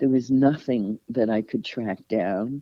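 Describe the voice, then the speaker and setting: A woman speaks at a very deep, low pitch. Her pace is fairly slow and her intonation fairly even. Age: 60s. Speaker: adoptee author. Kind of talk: interview.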